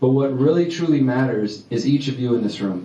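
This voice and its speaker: In a room with audible echo and noticeable background noise, a man talks at a fairly quick pace and a medium pitch. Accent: Texas. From Texas, Houston. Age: 30s. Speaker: activist speaker. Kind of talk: public talk. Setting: stage with audience. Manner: fast when excited.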